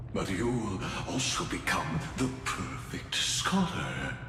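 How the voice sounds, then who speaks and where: In a put-on character voice of very deep, low pitch, a man speaks at a very slow pace, with a clear echo and loud background noise. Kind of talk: game cutscene voice acting. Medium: game stream. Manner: grandiose, measured.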